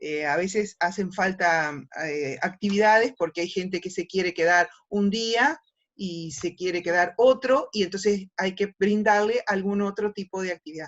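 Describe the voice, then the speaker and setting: At a fairly slow pace, a woman has a plain, everyday voice with a medium pitch and ordinary pitch variation. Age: 60s. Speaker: ecotourism project participant. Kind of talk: panel discussion.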